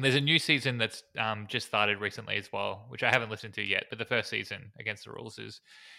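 On a very clean recording with a silent background, a man with vocal fry and a bright, sharp tone speaks at a very fast pace, with a fairly low pitch and fairly even intonation. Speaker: podcast co-host. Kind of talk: casual chat.

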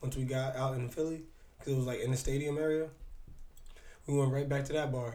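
A man speaks very fast at a medium pitch, somewhat breathy. His tone is dark and mellow. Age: 30s. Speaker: podcast co-host. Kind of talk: casual chat. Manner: animated.

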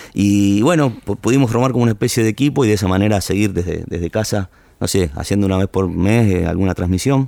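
A man's fairly low, dark, mellow voice in a Rioplatense accent, very fast with hardly any pauses, ordinary pitch variation and very even loudness, on a very clean recording with a silent background. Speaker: tango singer. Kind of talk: casual interview chat.

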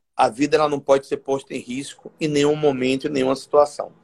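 A man talks at a moderate pace. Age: 40s. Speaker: state legislator. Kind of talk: interview.

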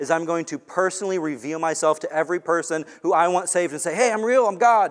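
A man with an American accent speaks at a moderate pace, his pitch varying in an ordinary way. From US West Coast (Long Beach, California). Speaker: pastor. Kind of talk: sermon.

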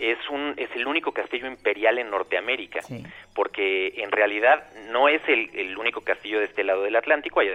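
A man speaks with music in the background. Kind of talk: interview. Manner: stammers at times.

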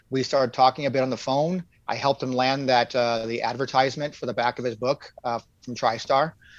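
Against a quiet background, a man talks at a fairly quick pace and medium pitch with fairly even intonation. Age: 50s. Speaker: wrestling card dealer and collector. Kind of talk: casual interview chat. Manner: halting, many fillers.

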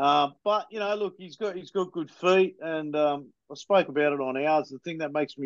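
A man's fairly high voice in an Australian accent, with ordinary pitch variation, at a moderate pace. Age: 40s. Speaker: football fan podcaster. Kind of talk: casual chat.

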